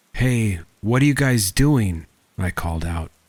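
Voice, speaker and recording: A man is speaking. There is a somewhat breathy quality to his voice. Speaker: horror story narrator. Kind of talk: horror story narration.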